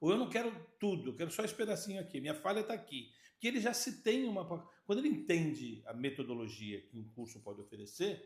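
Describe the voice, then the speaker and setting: At a very fast pace, a man speaks with a high pitch and very wide pitch swings. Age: 60s. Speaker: podcast host and sales consultant. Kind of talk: casual chat.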